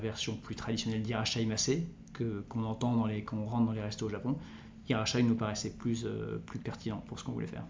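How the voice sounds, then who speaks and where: Over audible room echo, a man speaks at a medium pitch and a very fast pace. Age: 40s. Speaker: entrepreneur. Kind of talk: interview. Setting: recorded on location at his venue. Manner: halting.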